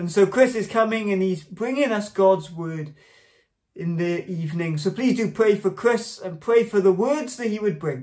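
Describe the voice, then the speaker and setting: The speech moves at a moderate pace with ordinary pitch variation against a quiet background. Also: man, high pitch for a man. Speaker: church minister. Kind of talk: prayer and church announcements. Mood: calm, earnest. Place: home room. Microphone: phone near.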